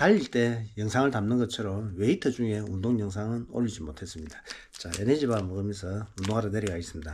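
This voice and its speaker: A man's fairly low, somewhat breathy voice moves at a fairly quick pace with hardly any pauses and ordinary pitch variation. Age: 60s. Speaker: marathon running vlogger. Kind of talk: casual vlog talk.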